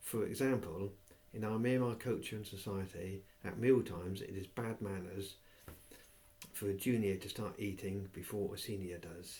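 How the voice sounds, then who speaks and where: A man speaks with an English accent in a fairly low pitch. His tone is dark and mellow, somewhat breathy, with fairly even intonation. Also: moderate pace. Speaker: reader of a textbook aloud. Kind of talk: reading aloud from a textbook.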